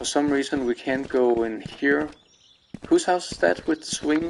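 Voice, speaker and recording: A man with a fairly high pitch and a Danish accent. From Denmark. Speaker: video game streamer. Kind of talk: let's play commentary. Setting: live stream. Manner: halting, many fillers.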